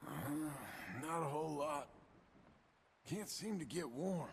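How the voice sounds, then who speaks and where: A man's put-on character voice, raspy and fairly high in pitch, at a moderate pace. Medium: video game.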